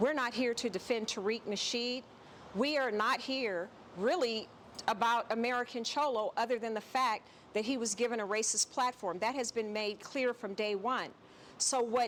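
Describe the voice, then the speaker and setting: Her pitch fairly high, a woman talks at a moderate pace with ordinary pitch variation and an ordinary speaking voice. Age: 60s. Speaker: activist, nonprofit executive director. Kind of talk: heated debate.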